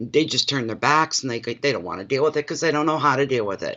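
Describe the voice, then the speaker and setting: A man's fairly high voice in an Atlantic Canadian accent, with ordinary pitch variation. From Canada, Saint John, New Brunswick. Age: 60s. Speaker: tarot reader. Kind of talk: casual livestream chat.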